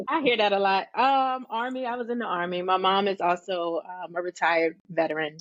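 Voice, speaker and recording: A woman with an American accent and an unremarkable speaking voice talks at a fairly quick pace in a medium pitch, with lively intonation and hardly any pauses. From Richmond, Virginia, US. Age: 40s. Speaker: hairstylist and educator. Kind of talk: interview.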